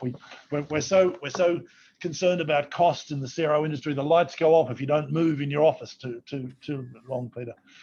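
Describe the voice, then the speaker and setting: With an Australian accent, the speaker moves at a very fast pace with fairly even intonation. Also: man. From Australia, Sydney. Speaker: company CEO. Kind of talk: virtual fireside chat interview. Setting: video call from office. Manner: halting, repeats words.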